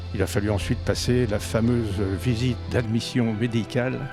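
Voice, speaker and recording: With music playing in the background, a man speaks at a fairly slow pace. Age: 80s+. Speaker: pilot. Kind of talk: interview answer. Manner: hesitant.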